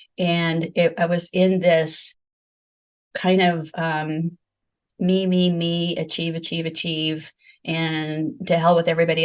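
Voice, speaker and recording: In a quiet setting, a woman speaks at a fairly slow pace with a fairly low pitch and monotone, flat intonation. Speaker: medium and author, near-death experiencer. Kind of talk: interview testimony. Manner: halting.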